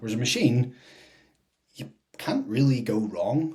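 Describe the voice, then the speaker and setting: Somewhat breathy, a man is speaking. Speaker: fitness podcast co-host, personal trainer. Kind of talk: casual chat.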